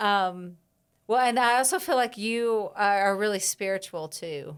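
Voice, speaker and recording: A woman with an American accent talks at a fairly slow pace, using a medium pitch and ordinary pitch variation. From US Midwest, Chicago. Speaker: herbalist. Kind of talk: casual chat. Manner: loud.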